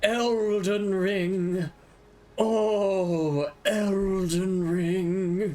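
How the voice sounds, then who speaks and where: A put-on character voice at a middle pitch. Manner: put-on dramatic, theatrical.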